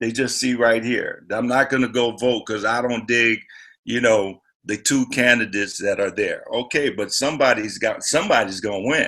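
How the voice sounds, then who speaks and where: Bright and sharp in tone, a man's voice sits at a medium pitch with fairly even intonation. He speaks at a moderate pace over a quiet background. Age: 60s. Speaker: celebrity guest at political rally. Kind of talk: panel discussion. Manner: casual, halting with repetitions.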